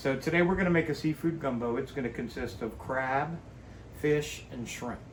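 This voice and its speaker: A man speaks in an American accent with ordinary pitch variation. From South Louisiana (Cajun area). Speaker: cooking channel host. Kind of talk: cooking tutorial. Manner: casual, folksy.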